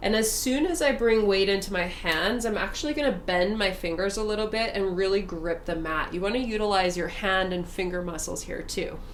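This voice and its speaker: Amid noticeable background noise and audible room echo, a woman talks with hardly any pauses and ordinary pitch variation. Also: medium pitch for a woman. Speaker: yoga instructor. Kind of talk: guided yoga class. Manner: slow and steady.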